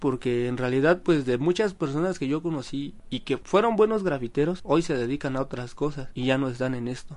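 This man talks at a fairly quick pace with hardly any pauses. He has an ordinary speaking voice, fairly high pitch and ordinary pitch variation. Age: 20s. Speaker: airbrush artist. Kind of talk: interview.

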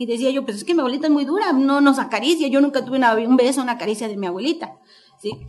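The speaker is a woman with a high voice. She talks very fast. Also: lively intonation. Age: 50s. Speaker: author. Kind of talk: book presentation speech. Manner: halting.

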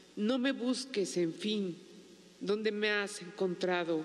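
Very slow pace from a woman with medium pitch. Her pitch variation is ordinary. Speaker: widow and writer. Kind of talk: poet reading aloud, solemn and intimate.

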